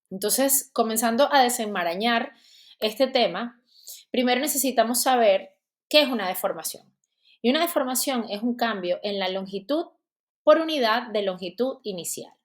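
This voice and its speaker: A woman speaks with a Venezuelan accent at a moderate pace. Her pitch is high. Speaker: dentist and teacher. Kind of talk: lecture; casual chat.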